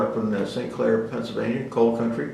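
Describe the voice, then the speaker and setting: The speaker, in an American accent, is heard with audible room echo and noticeable background noise. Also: man. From Philadelphia area and New Jersey, US Mid-Atlantic. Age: 80s+. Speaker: navy veteran. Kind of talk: oral history interview. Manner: halting, many fillers.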